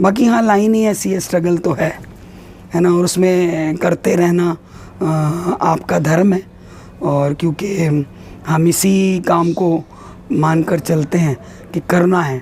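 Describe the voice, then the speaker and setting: A woman's fairly low voice with ordinary pitch variation, over noticeable background noise. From India. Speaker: actress. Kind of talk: interview answer.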